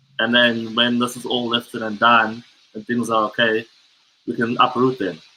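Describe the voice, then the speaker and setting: A medium-pitched man's voice with an American accent, at a moderate pace. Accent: sounds American, South African with family. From South Africa. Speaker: guest, son of a guest. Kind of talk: casual chat.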